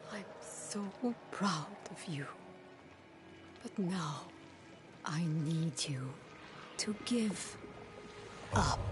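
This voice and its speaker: A cartoonish character voice at a middle pitch speaks at a very slow pace. Background noise is clearly heard. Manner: soft then sinister.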